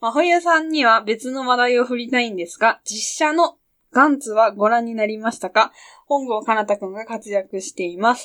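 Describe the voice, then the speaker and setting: A woman's normal speaking voice, fairly high-pitched, at a moderate pace with ordinary pitch variation and big swings in loudness, on a very clean recording with a silent background. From Japan, Yamanashi. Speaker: podcast co-host. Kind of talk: casual chat.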